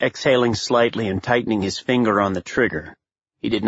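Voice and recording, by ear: The text is read aloud in a natural voice. Little can be heard behind it.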